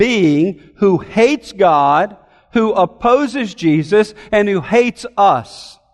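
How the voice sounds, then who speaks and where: This man speaks with lively intonation. His pitch is high. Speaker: pastor. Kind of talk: sermon. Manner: formal.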